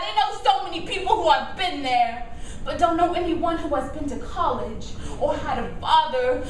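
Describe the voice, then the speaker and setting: Over noticeable background noise, a woman talks at a fairly quick pace in an extremely high voice. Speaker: poet; teacher. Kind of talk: live slam poetry performance. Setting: live venue, audience.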